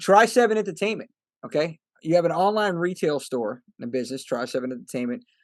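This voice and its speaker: Speaking fairly quickly with an American accent, a man with a fairly high pitch moves through very wide pitch swings. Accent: Brooklyn accent, stronger when there. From New York, Brooklyn. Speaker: podcast host. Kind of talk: interview.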